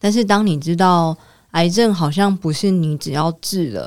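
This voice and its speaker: On a very clean recording with a silent background, a woman with a fairly low pitch speaks in a calm tone at a fairly slow pace, her pitch varying in an ordinary way. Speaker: cancer survivor and social entrepreneur. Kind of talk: interview conversation. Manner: calm and steady.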